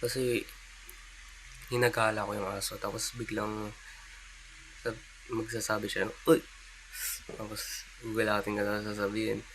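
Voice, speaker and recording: Quiet and fairly low, a man's voice moves at a moderate pace in a flat monotone, with long, frequent pauses over noticeable background noise. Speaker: vlogger. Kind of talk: casual vlog monologue. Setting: at home, early morning. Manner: quiet, keeping voice down; halting, many fillers.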